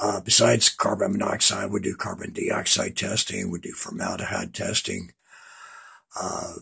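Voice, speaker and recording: A man at a fairly slow pace. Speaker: building inspector. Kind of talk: informational talk.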